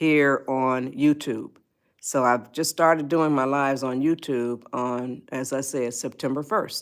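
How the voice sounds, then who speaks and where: A woman's very deep, low-pitched voice with fairly even intonation, on a very clean recording with a silent background. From US Midwest, Detroit, Michigan. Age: 80s+. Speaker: livestream host, life advice. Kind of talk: casual livestream chat. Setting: livestream. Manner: halting, many fillers and restarts.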